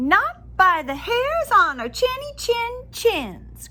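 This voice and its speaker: Someone uses a put-on character voice at extremely high pitch, with very wide pitch swings and a very slow pace. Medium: read story. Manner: squealing.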